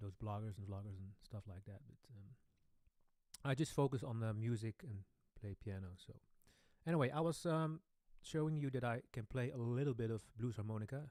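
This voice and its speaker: A man with a Dutch accent speaks at a fairly quick pace but with long, frequent pauses, his medium-pitched voice dark and mellow, with ordinary pitch variation and big swings in loudness. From Netherlands. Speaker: boogie woogie pianist. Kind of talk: live stream Q&A. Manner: hesitant, many fillers.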